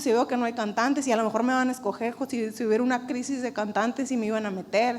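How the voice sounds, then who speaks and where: A woman with a high pitch talks at a very fast pace. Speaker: church preacher. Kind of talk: sermon.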